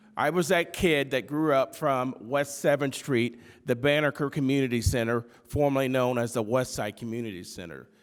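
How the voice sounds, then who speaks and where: On a very clean recording with a silent background, a man talks at a moderate pace with medium pitch and ordinary pitch variation. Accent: Midwestern American. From Bloomington, Indiana. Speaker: political candidate. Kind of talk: prepared statement. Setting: debate with audience.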